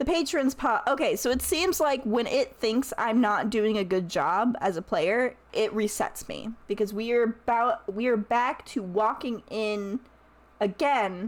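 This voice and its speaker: A woman with a plain, everyday voice, fairly high pitch and lively intonation, at a fairly slow pace. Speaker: streamer. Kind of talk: casual chat. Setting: live stream.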